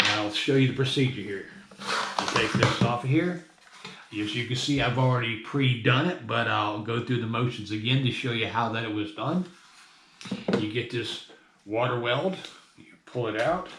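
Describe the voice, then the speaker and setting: Long, frequent pauses break up speech at a moderate pace, with audible room echo and noticeable background noise. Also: man, medium pitch for a man, ordinary pitch variation. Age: 60s. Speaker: hobbyist metal detectorist. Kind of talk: tutorial. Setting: at home desk. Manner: casual, conversational.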